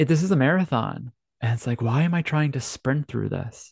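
The somewhat breathy voice moves at a moderate pace with ordinary pitch variation. The sound is dry and close with no echo, and the background is quiet. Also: man. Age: 30s. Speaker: podcast host and life coach. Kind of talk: solo monologue podcast.

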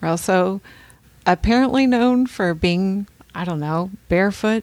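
At a fairly slow pace, a woman with an unremarkable speaking voice talks at medium pitch with ordinary pitch variation, the sound dry and close with no echo. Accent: American. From California. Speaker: podcast co-host. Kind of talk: casual chat.

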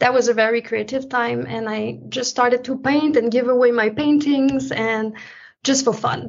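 With a Quebec accent, a woman talks at a moderate pace in a high voice. Her intonation stays flat and monotone. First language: French. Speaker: painter. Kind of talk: interview.

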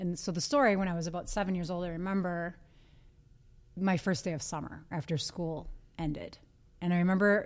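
A woman with an American accent uses an ordinary speaking voice, fairly low in pitch and at a fairly quick pace. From US Midwest, Green Bay, Wisconsin. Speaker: yoga studio owner and teacher. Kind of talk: casual interview.

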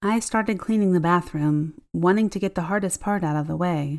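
An ordinary speaking voice at a moderate pace with ordinary pitch variation, on a very clean recording with a silent background. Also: woman. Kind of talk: ghost story telling, hushed and suspenseful, building dread. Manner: intimate first-person confiding tone, shifting into quoted dialogue.

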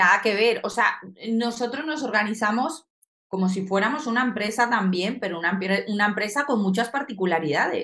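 At a moderate pace, a woman talks in a fairly high voice with a bright, sharp tone. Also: ordinary pitch variation. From Colombia. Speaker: soldier. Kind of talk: casual chat.

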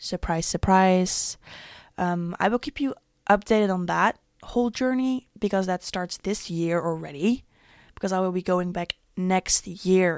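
Talking at a fairly slow pace, a woman with a normal speaking voice keeps a medium pitch and ordinary pitch variation. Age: 20s. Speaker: podcast host. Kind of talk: casual monologue.

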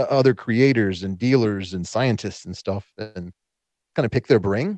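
With a plain, everyday voice, a man of medium pitch talks at a fairly quick pace with lively intonation. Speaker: guest, tarantula keeper and podcaster. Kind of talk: casual conversational podcast interview.

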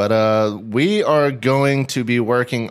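On a very clean recording with a silent background, a man with a Southern US accent speaks at a medium pitch and a fairly slow pace. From Tennessee, Nashville. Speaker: fishing youtuber and podcast co-host. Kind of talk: casual chat. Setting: home studio.

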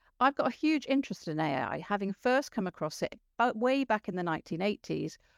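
At a moderate pace, a woman speaks with vocal fry in a dry, close sound with no echo. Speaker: podcast host. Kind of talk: interview.

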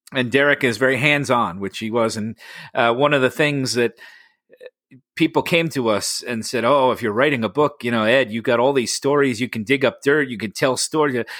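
A man with an American accent talks at a fairly quick pace and medium pitch, with ordinary pitch variation, in a dry, close sound with no echo. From New York City area. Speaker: actor and motivational speaker. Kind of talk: casual interview.

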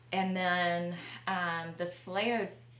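With a Southern US accent, a woman speaks at a fairly low pitch amid noticeable background noise and audible room echo. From Alabama, small town south of Montgomery. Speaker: business co-founder. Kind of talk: casual interview.

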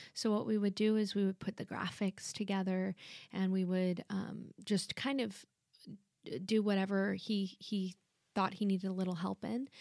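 Close and dry with no echo, a woman with an ordinary speaking voice talks at a medium pitch and moderate pace, keeping her intonation fairly even. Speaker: TV meteorologist. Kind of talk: casual interview chat. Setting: studio.

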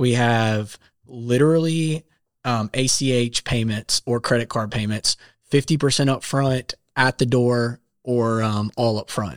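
The recording is very clean with a silent background and a dry, close sound with no echo, as a man with an American accent and an ordinary speaking voice talks at a medium pitch and fairly slow pace with fairly even intonation. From South Carolina. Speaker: app founder, songwriter and software developer. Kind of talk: casual interview. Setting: studio.

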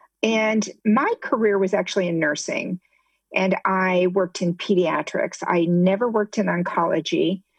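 In an ordinary speaking voice, a woman talks at medium pitch and a moderate pace, her loudness very even and her intonation fairly even, with a dry, close sound and no echo. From US Midwest, Ohio. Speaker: retired nurse and patient advocate. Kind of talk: testimony.

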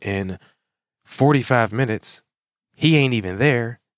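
Speaking with an American accent in an animated tone, a man at a medium pitch keeps a moderate pace and ordinary pitch variation in a dry, close sound with no echo. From Pittsburgh, Pennsylvania. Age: 40s. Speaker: lawn care business owner and podcast host. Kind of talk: solo motivational podcast monologue. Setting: home office.

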